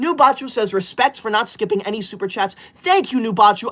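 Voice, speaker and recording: The tone is animated, with very wide pitch swings. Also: man. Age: 20s. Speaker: livestreamer. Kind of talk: live stream chat reading. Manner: fast.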